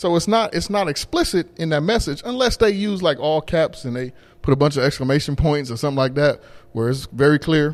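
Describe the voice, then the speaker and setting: Lively intonation marks this man's fairly high-pitched voice. The recording is very clean, with a silent background. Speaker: podcast host. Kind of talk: casual chat. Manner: gets loud when passionate.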